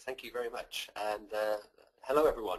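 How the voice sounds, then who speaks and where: A man talks at a moderate pace with a West Country accent. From Bath, west of England. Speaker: webinar presenter.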